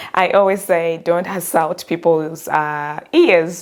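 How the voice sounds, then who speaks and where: A woman speaks over noticeable background noise. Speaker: career coach. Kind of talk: tutorial. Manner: monotone.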